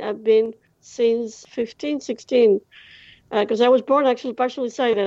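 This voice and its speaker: Someone with a Greek accent speaks at a moderate pace. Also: woman, quiet background. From Greece. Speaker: blind traveller. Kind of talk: interview. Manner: halting, many fillers.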